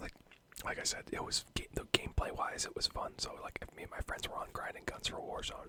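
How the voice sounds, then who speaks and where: Someone is whispering at a very fast pace. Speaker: ASMR YouTuber / gamer. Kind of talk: casual chatty commentary over gameplay, ASMR channel. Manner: casual, conversational, ranting, laughing; whispered, soft-spoken.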